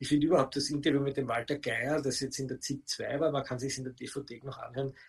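Somewhat breathy tones from a man, pitched fairly high. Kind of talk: interview.

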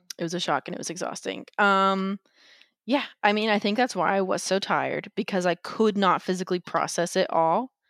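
In a very clean recording with a silent background and a dry, close sound with no echo, a woman with an American accent and an ordinary speaking voice talks at a fairly quick pace, at medium pitch and with fairly even intonation. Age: 20s. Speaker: podcast guest sharing life story. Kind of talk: personal testimony interview.

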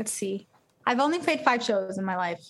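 A woman speaks in a Californian accent. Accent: Californian American. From Los Angeles. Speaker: singer-songwriter. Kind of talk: casual interview.

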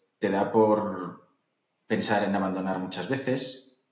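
Over audible room echo, a man talks very slowly with fairly even intonation. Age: 30s. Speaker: entrepreneur and investor. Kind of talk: interview.

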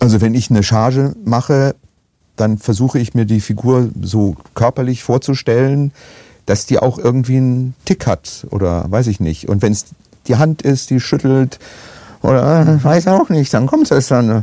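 A man speaks at very even loudness with ordinary pitch variation. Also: medium pitch for a man, fairly slow pace, dry, close sound with no echo. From Germany, Essen (Ruhr area). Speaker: actor and voice actor. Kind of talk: casual chat.

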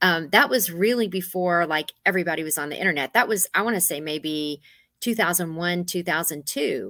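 On a very clean recording with a silent background, a woman with an American accent speaks fairly quickly in a fairly low voice, with a bright, sharp tone and ordinary pitch variation. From Texas (Gonzales). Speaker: interior designer. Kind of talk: casual chat.

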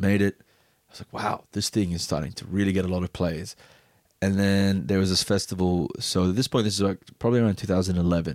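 A man with a very deep, low voice talks fairly quickly with big swings in loudness, in a dry, close, very clean recording with a silent background. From Bahrain. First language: Arabic. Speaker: DJ and music producer. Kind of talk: casual chat. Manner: fast talker.

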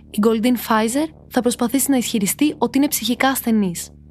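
A woman's fairly high voice with ordinary pitch variation and a serious tone, over music in the background. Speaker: true crime podcast narrator. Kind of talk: true-crime narration, scripted, read from a prepared text. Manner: steady, serious storytelling, measured and suspenseful.

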